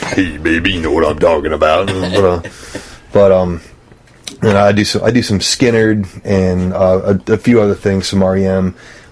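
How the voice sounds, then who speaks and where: Speaking at a moderate speed in a very deep, low register, a man keeps fairly even intonation while noticeable noise runs in the background. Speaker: rock band singer and musician. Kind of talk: casual chat.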